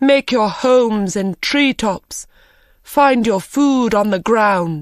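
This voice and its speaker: A put-on character voice, female-sounding and fairly high, at a very slow pace on a very clean recording with a silent background. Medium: read story. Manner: cold, commanding.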